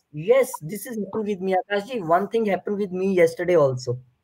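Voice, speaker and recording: A man speaks at a very fast pace with an Indian accent. His voice sits high for a man and has lively intonation. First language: Hindi. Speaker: channel host. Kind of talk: casual chat.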